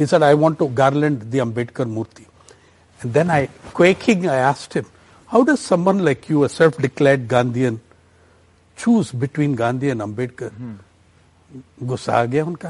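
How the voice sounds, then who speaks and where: With an Indian accent, a man speaks at a moderate pace and a fairly high pitch, with ordinary pitch variation. He takes long, frequent pauses. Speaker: journalist and author. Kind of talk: interview. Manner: thoughtful, measured.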